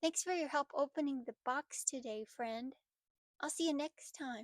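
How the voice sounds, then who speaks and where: A woman puts on a cartoonish character voice, high in pitch, at a moderate pace. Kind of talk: children's puppet show. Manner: upbeat, excited.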